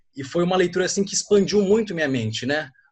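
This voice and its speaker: A man rattles along at a very fast pace. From Brazil, São Paulo coast. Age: 20s. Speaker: student asking a question. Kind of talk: audience question in online Q&A.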